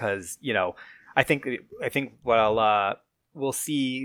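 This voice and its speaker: A man with an American accent has a normal speaking voice, a fairly low pitch and ordinary pitch variation. The recording is very clean with a silent background. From upstate New York. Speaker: soccer podcast co-host. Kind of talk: casual chat.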